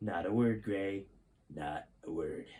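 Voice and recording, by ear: In a put-on character voice, a man speaks slowly at a low pitch, his tone dark and mellow with a slightly husky edge and ordinary pitch variation.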